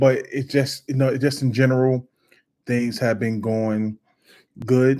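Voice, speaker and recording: A man's medium-pitched voice with a dark, mellow tone, flat and monotone, at a fairly slow pace with long, frequent pauses. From Brooklyn, New York City. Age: 50s. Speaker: political commentator and YouTuber. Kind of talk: casual live video monologue. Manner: halting, many fillers.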